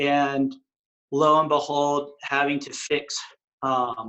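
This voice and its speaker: Very slowly and with an American accent, a man speaks at a fairly high pitch with fairly even intonation. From West Texas. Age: 40s. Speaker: retreat chef. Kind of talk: interview.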